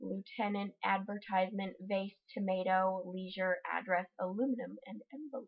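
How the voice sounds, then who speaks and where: Mumbling American-accented woman at a moderate pace, hardly any pauses, quiet background. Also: ordinary pitch variation. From Utah, USA. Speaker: vlogger. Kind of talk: casual talk to camera, accent tag word list. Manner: a bit mumbly. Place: home room. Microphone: webcam.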